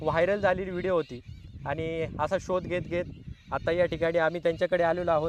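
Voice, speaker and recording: This is a man with a high pitch. His intonation is monotone and flat. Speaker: village life interviewer. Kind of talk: casual talk to camera.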